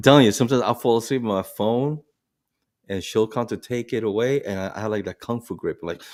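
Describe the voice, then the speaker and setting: In a very clean recording with a silent background, a man with an American accent talks at a very fast pace, his medium pitch showing ordinary variation. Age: 60s. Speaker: podcast co-host, bus driver. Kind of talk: casual chat.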